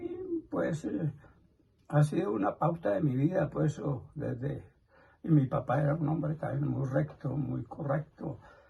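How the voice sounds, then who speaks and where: Noticeable noise sits in the background. A man talks fairly slowly over it. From Colombia, Nemocón, Cundinamarca. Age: 80s+. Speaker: elderly interviewee. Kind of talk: interview answers.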